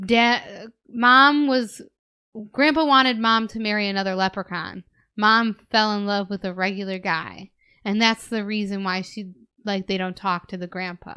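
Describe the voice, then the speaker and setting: With an American accent, a woman speaks at a moderate pace and medium pitch, using a bright, sharp tone and ordinary pitch variation, in a dry, close sound with no echo and a quiet background. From US Midwest. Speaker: podcast co-host and teacher. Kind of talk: casual chat. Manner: laughs often.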